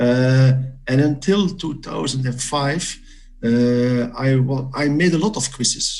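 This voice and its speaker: Pitch moves with ordinary variation. The delivery has a somewhat breathy quality. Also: man. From Belgium. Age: 60s. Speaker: quiz competitor. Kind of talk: interview. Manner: halting, many fillers.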